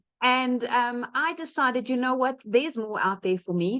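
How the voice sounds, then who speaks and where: A woman with a South African accent speaks at a high pitch. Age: 30s. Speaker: online business presenter. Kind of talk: webinar testimony. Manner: casual with fillers.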